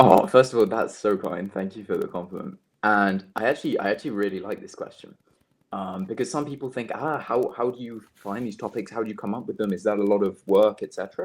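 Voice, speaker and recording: In a British accent, a man talks at a very fast pace with a fairly low pitch and ordinary pitch variation. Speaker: language content creator. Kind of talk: interview. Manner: hesitant, many fillers and repeats; presenter-like delivery.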